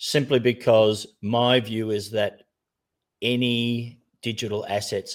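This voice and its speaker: A man is speaking. He has an Australian accent. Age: 60s. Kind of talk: casual chat. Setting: online group call.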